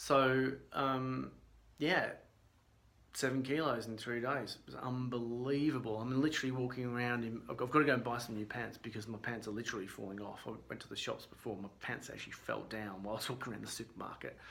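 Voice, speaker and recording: Using fairly even intonation, a man at medium pitch talks at a fairly quick pace. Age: 40s. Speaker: weight loss vlogger. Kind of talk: casual talk to camera. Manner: conversational, hesitant.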